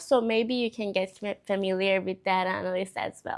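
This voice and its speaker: The background is silent on a very clean recording. A woman talks in a non-native accent. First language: not English. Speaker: vlogger, data analyst. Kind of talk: casual vlog talk. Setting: at home.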